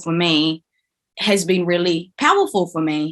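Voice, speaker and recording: A woman speaks loudly at a fairly slow pace. Her tone is bright and sharp, with ordinary pitch variation. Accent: New Zealand. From New Zealand, Filipino (Kapampangan) heritage. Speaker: actor. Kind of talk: podcast interview.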